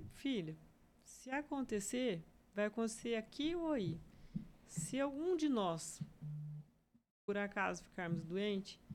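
A woman's medium-pitched voice with very wide pitch swings and long, frequent pauses. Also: fairly slow pace. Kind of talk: testimony.

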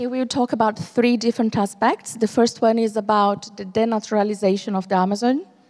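A woman's fairly high-pitched voice with fairly even intonation at a moderate pace. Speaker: interpreter. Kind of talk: live interpretation. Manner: halting.

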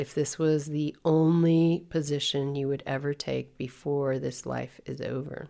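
Very deep and low in pitch, a woman speaks with hardly any pauses in a dark, mellow, calm, soothing tone with monotone, flat intonation. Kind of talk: guided meditation. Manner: calm, slow, soothing instructional cadence.

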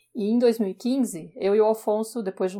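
A woman with a dark, mellow tone and fairly even intonation, in a very clean recording with a silent background. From Brazil, São Paulo. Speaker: podcast co-host, parenting page creator. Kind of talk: casual podcast talk.

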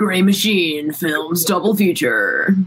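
A man's put-on character voice, high in pitch, at a fairly slow pace with ordinary pitch variation. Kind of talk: voiceover announcer.

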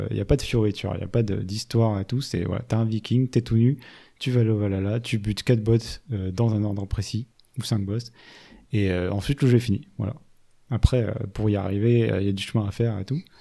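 Talking at a fairly quick pace, a man with a dark, mellow tone and fairly low pitch keeps his intonation fairly even on a very clean recording with a silent background. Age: 30s. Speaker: video game podcast host. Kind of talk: casual chat.

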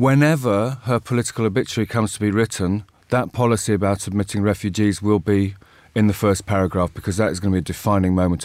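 A man with an English accent speaks very fast in a fairly low voice with ordinary pitch variation. The recording is very clean, with a silent background. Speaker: journalism professor, former correspondent. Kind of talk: current affairs panel discussion. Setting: studio.

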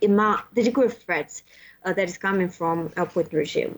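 Pitch moves in an ordinary way as the speaker talks with a Russian accent. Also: woman. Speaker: political scientist, postdoctoral fellow. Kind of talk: interview podcast. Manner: halting with frequent fillers.

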